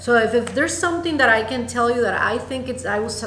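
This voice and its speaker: A woman speaks with a Spanish accent. The recording has audible room echo and noticeable background noise. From Honduras. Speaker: news anchor. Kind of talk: interview. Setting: conference newsroom.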